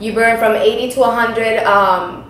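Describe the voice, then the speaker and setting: This woman's voice sits fairly high in pitch. Audible room echo and light background noise surround it. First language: not English. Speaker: Herbalife distributor. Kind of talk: tutorial. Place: kitchen. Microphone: camera far.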